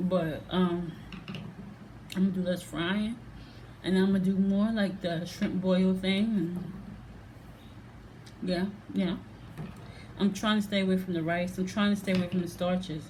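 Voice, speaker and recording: A woman speaks at a medium pitch and a moderate pace in a somewhat breathy, monotone, flat intonation with very even loudness. She leaves long, frequent pauses, and audible room echo fills the recording. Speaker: reaction video vlogger. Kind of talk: casual vlog monologue. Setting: at home.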